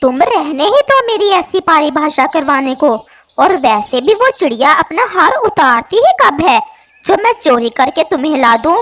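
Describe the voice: A cartoonish character voice, high-pitched, at a moderate pace.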